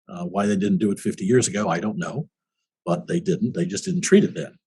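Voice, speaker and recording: Talking fairly quickly with very wide pitch swings and vocal fry, a man speaks in an American accent. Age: 70s. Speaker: war veteran. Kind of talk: interview. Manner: halting.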